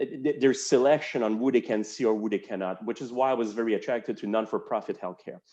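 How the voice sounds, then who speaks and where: A man's very fast, medium-pitched voice in a French Canadian accent, dark and mellow in tone, with ordinary pitch variation and hardly any pauses. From Quebec, Montreal. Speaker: healthcare executive. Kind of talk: interview.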